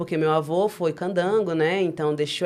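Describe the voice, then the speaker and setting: A woman talks at a fairly quick pace with fairly even intonation. Her pitch sits fairly low. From Maranhão, Brazil, raised largely in Brasília outskirts. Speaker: rapper and performer. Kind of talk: interview.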